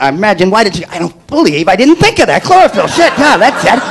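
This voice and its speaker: Over noticeable background noise, a man talks very fast with very wide pitch swings. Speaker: stand-up comedian. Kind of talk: stand-up comedy routine. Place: stage. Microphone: handheld.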